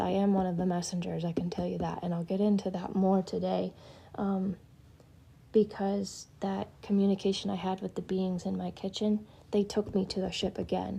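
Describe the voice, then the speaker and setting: At a moderate pace, a woman speaks in a medium-pitched, somewhat breathy voice with a dark, mellow tone and monotone, flat intonation. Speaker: spiritual healer livestreamer. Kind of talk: live stream talk. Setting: social media live stream. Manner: hesitant, filler-heavy; whispering.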